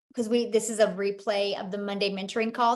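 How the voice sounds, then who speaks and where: Audible room echo surrounds speech delivered at a very fast pace. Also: woman. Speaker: online business mentor. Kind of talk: mentoring call Q&A.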